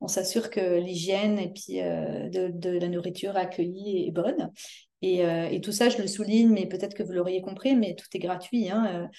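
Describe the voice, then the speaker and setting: Her tone dark and mellow, a woman talks at a moderate pace with a medium pitch and fairly even intonation. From France. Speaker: community volunteer organizer. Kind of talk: interview. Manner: hesitant, many fillers.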